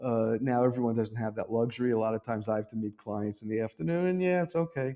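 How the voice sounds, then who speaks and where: A man with an East Coast American accent at a very fast pace, medium pitch and a dark, mellow tone, against a quiet background. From US East Coast, New York City. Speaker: real estate agent and local vlogger. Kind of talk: casual talk to camera.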